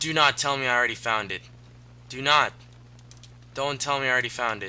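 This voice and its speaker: A man's medium-pitched voice, bright and sharp in tone, at a fairly quick pace. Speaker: gaming commentator. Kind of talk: let's play commentary. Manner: halting, stuttering; casual, animated.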